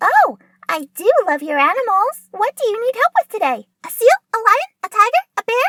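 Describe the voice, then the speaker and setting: A woman's put-on character voice, extremely high and fairly quick. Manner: upbeat, turning nervous.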